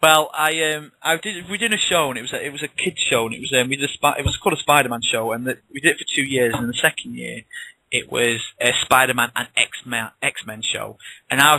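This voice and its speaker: With a northern English accent, a man talks at a very fast pace in a bright, sharp tone. The sound is dry and close, with no echo. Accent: northern English, noticeable in the south. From northwest England. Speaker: author. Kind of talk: interview. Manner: casual, chatty with many restarts.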